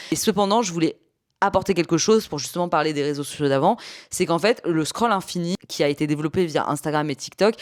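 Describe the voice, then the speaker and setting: A woman's very deep, low voice with lively intonation at a fairly quick pace, on a very clean recording with a silent background. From Paris, France. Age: 30s. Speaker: YouTuber, podcaster. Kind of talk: casual video podcast commentary.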